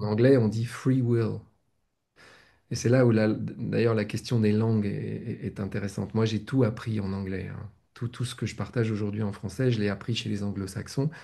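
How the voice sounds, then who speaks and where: Against a quiet background, a man talks at a moderate pace in a fairly low voice. His tone is dark and mellow, and his intonation fairly even. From France. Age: 60s. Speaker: spiritual teacher. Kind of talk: casual chat. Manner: halting.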